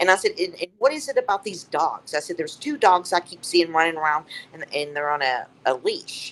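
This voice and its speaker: The speaker has a Southern US accent. Pitch variation is ordinary. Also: woman. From Tennessee. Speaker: psychic medium. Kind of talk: storytelling interview. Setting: live stream. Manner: matter-of-fact.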